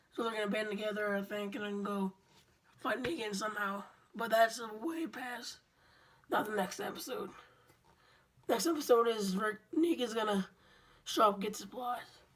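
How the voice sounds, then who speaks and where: Over noticeable background noise, a woman speaks at a moderate pace in a fairly high pitch with ordinary pitch variation and long, frequent pauses. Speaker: vlogger. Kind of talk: casual TV recap vlog. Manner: rambling, informal.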